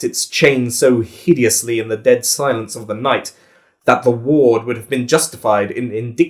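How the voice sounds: A reading voice that sounds natural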